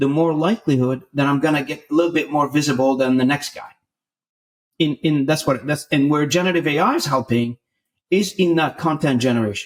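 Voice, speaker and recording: A man with a fairly high pitch and ordinary pitch variation talks at a fairly quick pace. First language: not English (English is third language). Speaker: sales executive. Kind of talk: podcast interview.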